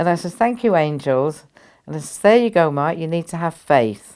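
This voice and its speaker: A woman's fairly low voice makes very wide pitch swings in a very clean recording with a silent background. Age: 80s+. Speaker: spiritual teacher. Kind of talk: storytelling interview.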